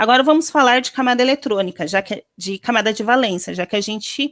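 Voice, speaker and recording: Here is a normal speaking voice from a woman with a fairly high pitch and lively intonation. She keeps a moderate pace, and the sound is dry and close with no echo. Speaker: chemistry teacher. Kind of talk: lecture.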